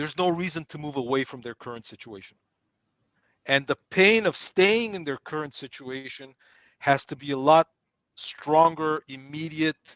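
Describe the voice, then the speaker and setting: A man's unremarkable speaking voice, fairly high in pitch with ordinary pitch variation and big swings in loudness, at a moderate pace, with a quiet background and a dry, close sound with no echo. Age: 60s. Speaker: sales trainer. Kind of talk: workshop teaching with Q&A.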